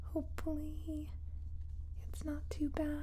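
A female speaker at a fairly slow pace. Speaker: ASMR creator. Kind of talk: soft-spoken ASMR chat. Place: home room.

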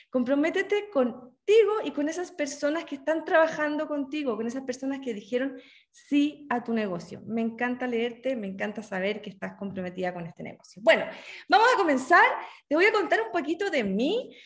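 A woman talks in a high pitch. Her pitch swings very widely. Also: moderate pace. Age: 40s. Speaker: journalist and network marketer. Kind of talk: online training presentation. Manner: enthusiastic.

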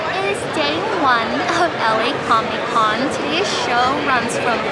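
A woman is heard with crowd noise in the background. The sound itself is dry, with no echo. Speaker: convention artist vendor. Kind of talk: casual vlog chat. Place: hall. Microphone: phone near.

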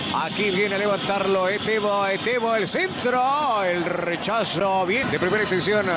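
A man's high-pitched voice at a fairly slow pace, very even in loudness, with hardly any pauses, ordinary pitch variation, and noticeable background noise. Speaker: sports commentator. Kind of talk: live sports commentary. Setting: broadcast of a TV match.

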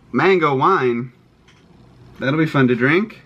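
Noticeable background noise behind a man speaking at a moderate pace. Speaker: vlogger. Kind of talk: casual vlog chat. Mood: cheerful, excited. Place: home room. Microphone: phone near.

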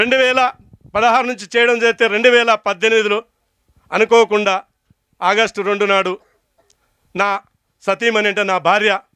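With a Telangana accent, a man projects a raised, high-pitched voice of bright, sharp tone in a monotone, flat intonation, the sound dry and close with no echo. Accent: Telangana Telugu. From Telangana, Mahabubnagar district. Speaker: natural farmer. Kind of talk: speech to farmers' gathering. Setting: stage with audience.

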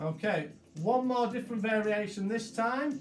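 Faint music plays behind a man whose voice carries audible room echo. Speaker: fitness instructor. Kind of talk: exercise class instruction. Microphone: camera far.

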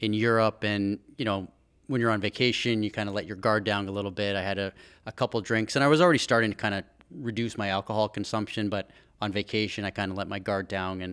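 The voice has fairly even intonation over a quiet background. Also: man, fairly low pitch for a man. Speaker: guest. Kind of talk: interview answer. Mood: reflective personal story. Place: studio. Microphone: studio mic.

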